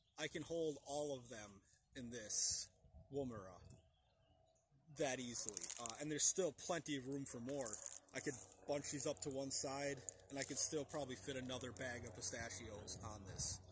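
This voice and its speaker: Over noticeable background noise, a man talks at a moderate pace with ordinary pitch variation and long, frequent pauses, in a dry sound with no echo. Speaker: outdoor primitive skills demonstrator. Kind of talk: casual tutorial rant. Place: open country.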